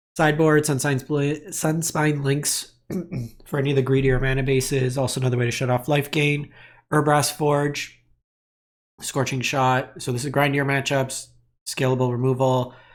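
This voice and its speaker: A man talks at a moderate pace in a flat monotone at medium pitch. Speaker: card game content creator. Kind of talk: tutorial. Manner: casual with fillers.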